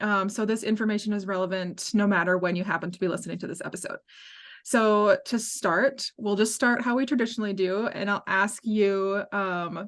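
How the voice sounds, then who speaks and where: A woman with an American accent, an unremarkable speaking voice at medium pitch, fairly even intonation and a moderate pace, over a quiet background. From US Midwest, Minnesota. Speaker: podcast host, outdoor writer. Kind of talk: podcast interview.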